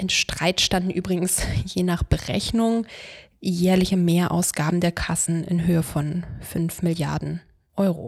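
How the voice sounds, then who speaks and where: A woman talks at a fairly slow pace in a fairly low, somewhat breathy voice with monotone, flat intonation. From Brandenburg, eastern Germany. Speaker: lawyer. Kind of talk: scripted monologue. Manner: formal.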